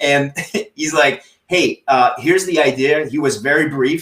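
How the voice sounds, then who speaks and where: With a French accent, a man speaks in a fairly high pitch and fairly even intonation. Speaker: TikTok coach. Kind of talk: interview on a live stream. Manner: halting, frequent repetitions.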